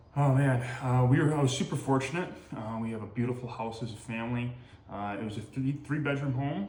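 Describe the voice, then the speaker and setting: A man with an American accent at medium pitch, ordinary pitch variation and a fairly quick pace, with audible room echo. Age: 20s. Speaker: firefighter. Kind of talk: interview answers. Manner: hesitant, many fillers.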